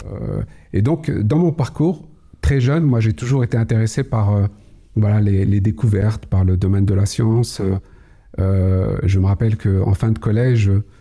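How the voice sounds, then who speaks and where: Calm in tone and somewhat breathy, a man speaks with very even loudness. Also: ordinary pitch variation, moderate pace. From Kabylie, Algeria, raised Paris region from age six. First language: Kabyle (Berber) (speaking French). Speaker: cybersecurity executive. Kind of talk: podcast interview. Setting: studio. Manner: hesitant, many fillers.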